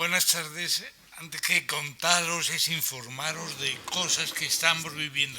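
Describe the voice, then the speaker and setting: Noticeable background noise under a man's fairly slow delivery. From Spain, Alicante province (Aspe, Elche). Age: 60s. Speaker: person living with Alzheimer's, speaker at awareness event. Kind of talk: reading aloud a prepared personal testimony. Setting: conference hall with audience.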